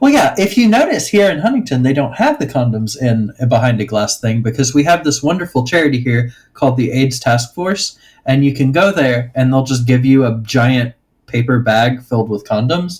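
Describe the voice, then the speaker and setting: At a moderate pace, a man talks in an Appalachian accent with a somewhat breathy voice. His pitch sits in the medium range and varies in an ordinary way. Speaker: podcast guest. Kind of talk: casual chat.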